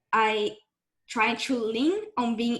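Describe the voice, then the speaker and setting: A woman with a Brazilian accent speaks at a fairly high pitch with ordinary pitch variation. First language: Portuguese. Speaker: game developer. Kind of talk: panel discussion.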